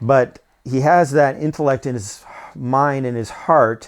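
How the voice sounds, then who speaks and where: Man speaking against a quiet background. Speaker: whistleblower. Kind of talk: phone call monologue. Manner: fast; halting with many fillers.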